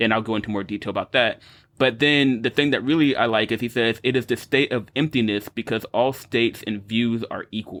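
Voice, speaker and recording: A man's medium-pitched voice moves at a fairly quick pace, its intonation fairly even. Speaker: podcast host, physicist. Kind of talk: casual chat. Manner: loud.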